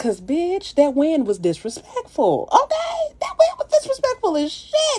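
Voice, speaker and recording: Very wide pitch swings over noticeable background noise. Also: woman. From US South. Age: 30s. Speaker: makeup influencer. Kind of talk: casual livestream chat with makeup tutorial. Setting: livestream. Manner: animated.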